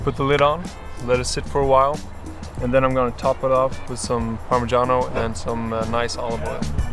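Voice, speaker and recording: Moderately paced speech from a man, clear music in the background, the sound dry with no echo. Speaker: guest. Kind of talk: tutorial. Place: open country.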